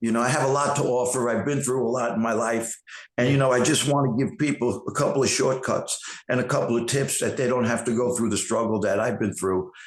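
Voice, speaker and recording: A man at a medium pitch with a New York accent, very fast pace, very even loudness and fairly even intonation. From New York City, Queens. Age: 60s. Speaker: actor and fitness trainer. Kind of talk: interview.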